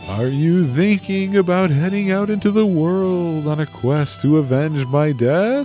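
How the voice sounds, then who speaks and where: A man's put-on character voice, fairly high in pitch, at a moderate pace over clear background music. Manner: haunting, theatrical.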